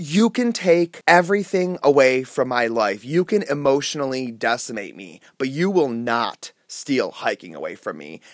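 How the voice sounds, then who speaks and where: A man with an American accent speaks at a moderate pace, his pitch swinging very widely. The sound is dry and close with no echo, on a very clean recording with a silent background. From US Midwest, Cleveland area, Ohio. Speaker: adventurer and writer. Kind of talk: personal storytelling interview.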